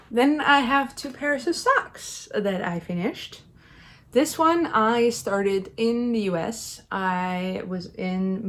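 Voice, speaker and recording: Talking at a very slow pace, a woman with a Dutch accent lets her pitch swing very widely. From Netherlands. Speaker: knitting youtuber. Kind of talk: casual chat. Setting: home knitting corner. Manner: hesitant, many fillers.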